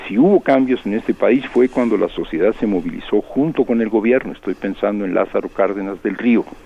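Noticeable background noise runs under this clip. A man talks at a fairly quick pace. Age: 70s. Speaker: political analyst. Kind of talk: radio interview.

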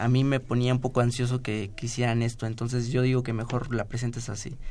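Dark and mellow in tone, a man's medium-pitched voice moves at a fairly quick pace. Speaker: civil engineering student. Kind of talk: radio interview.

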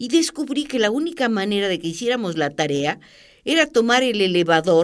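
On a very clean recording with a silent background, a woman speaks at a moderate pace. Her fairly high pitch has very wide swings. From Argentina, Entre Ríos. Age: 80s+. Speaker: art critic and journalist. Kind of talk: interview.

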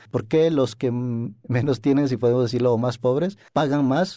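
A man's dark, mellow, medium-pitched voice at a moderate pace, on a very clean recording with a silent background. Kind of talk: interview.

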